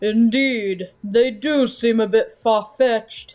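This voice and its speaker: A man's put-on character voice, extremely high in pitch, with fairly even intonation and a fairly slow pace. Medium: game stream. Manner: formal, gavel-banging.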